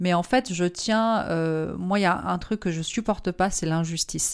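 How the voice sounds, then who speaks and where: In a very clean recording with a silent background, a woman with an unremarkable speaking voice talks at a medium pitch with ordinary pitch variation. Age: 30s. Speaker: marketing consultant and entrepreneur. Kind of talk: interview.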